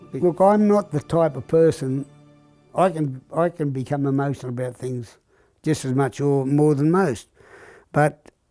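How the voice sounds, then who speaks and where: With an Australian accent, a man speaks at a fairly high pitch and moderate pace, his tone dark and mellow and his pitch varying in an ordinary way. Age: 90s. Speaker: elderly man reminiscing. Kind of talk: documentary interview, life reminiscence.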